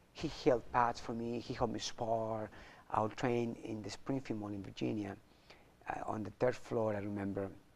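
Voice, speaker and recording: In a Spanish accent, a man talks at a moderate pace with fairly even intonation and medium pitch. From Chile. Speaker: martial arts champion and motivational speaker. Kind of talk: interview.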